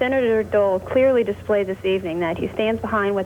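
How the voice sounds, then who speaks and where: A woman with a medium pitch talks against noticeable background noise. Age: young. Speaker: caller. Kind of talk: call-in comment. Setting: phone call.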